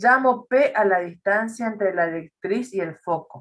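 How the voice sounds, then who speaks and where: Lively intonation runs through this normal speaking voice. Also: woman. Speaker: math teacher. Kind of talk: lecture.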